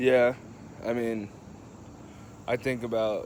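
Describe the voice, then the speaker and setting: This man speaks with an American accent at a very slow pace. His pitch sits in the medium range. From Kansas City, Kansas (US Midwest). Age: 20s. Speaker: person in alcohol recovery, vlogger. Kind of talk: personal testimony. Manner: halting, many fillers.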